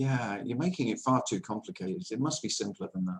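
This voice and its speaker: In an English accent, a man speaks at a medium pitch. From England. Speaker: nonduality speaker. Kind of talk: spiritual talk answering question.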